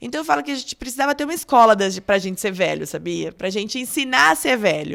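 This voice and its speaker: This voice races along at a very fast pace, with very wide pitch swings and vocal fry. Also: woman, medium pitch for a woman. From Brazil, Catanduva (São Paulo state). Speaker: doctor. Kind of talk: interview.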